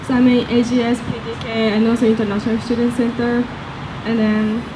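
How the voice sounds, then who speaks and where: Amid noticeable background noise and audible room echo, a woman with a Japanese accent speaks at a fairly quick pace in a fairly high, monotone, flat voice. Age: young. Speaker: student election candidate. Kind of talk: candidate forum answers. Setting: outdoor campus event with audience.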